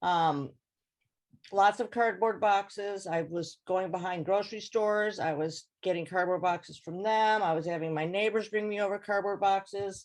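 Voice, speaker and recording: A woman speaks in a plain, everyday voice at medium pitch. She keeps a moderate pace and ordinary pitch variation over a quiet background. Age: 60s. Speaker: home gardener sharing tips. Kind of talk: informal presentation over video call.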